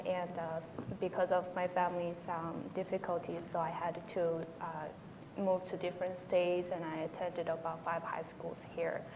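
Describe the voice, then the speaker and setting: With a Korean accent, a woman speaks at a moderate pace in a fairly low pitch, over noticeable background noise and audible room echo. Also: hardly any pauses. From North Korea, raised in China. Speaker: North Korean defector, panelist. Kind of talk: panel discussion. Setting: conference panel with audience. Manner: halting, many fillers.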